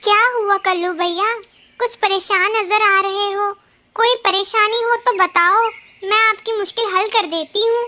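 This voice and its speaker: This cartoonish character voice is female-sounding, pitched extremely high, and moves at a moderate pace. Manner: brisk, self-assured.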